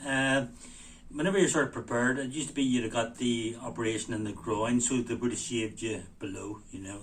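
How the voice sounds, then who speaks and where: A man in a Belfast accent speaks at a fairly quick pace, sounding somewhat breathy. Audible room echo surrounds his voice. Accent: East Belfast. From Northern Ireland, East Belfast. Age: 60s. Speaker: heart patient sharing experience. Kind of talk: casual talk to camera. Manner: hesitant, many fillers.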